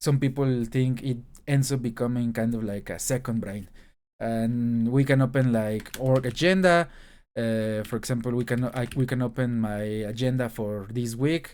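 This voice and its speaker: A man speaks in a Spanish accent at a moderate pace, with medium pitch and fairly even intonation. The recording is very clean, with a silent background. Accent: Spanish-accented English, noticeable. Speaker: YouTuber, aspiring programmer. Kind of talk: screen-share tech showcase. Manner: halting, many fillers and restarts.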